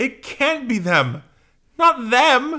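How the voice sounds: A man uses a put-on character voice at an extremely high pitch with big pitch swings. His tone is bright and sharp, and his pace is very slow.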